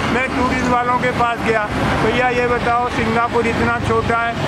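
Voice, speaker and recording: A man talks in an extremely high pitch with a raised, projected voice and monotone, flat intonation. Room echo and noticeable background noise are audible. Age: 80s+. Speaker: retired engineer and activist. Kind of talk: impassioned public talk.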